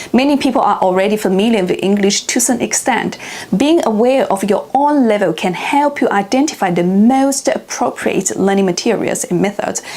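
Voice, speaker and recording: Amid noticeable background noise, a woman with a Chinese accent speaks at a moderate pace and fairly high pitch, using lively intonation, very even loudness and hardly any pauses. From China. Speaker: language learning youtuber. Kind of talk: tutorial.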